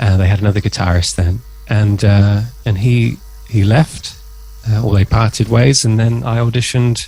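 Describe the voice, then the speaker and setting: Fairly low-pitched male voice with fairly even intonation, amid noticeable background noise. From southern England, near Oxford. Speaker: guitarist. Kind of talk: interview. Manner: hesitant, many fillers.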